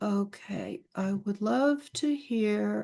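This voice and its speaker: A woman's voice with an American accent. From Pennsylvania. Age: 70s. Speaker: art agent and teacher. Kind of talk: live video chat.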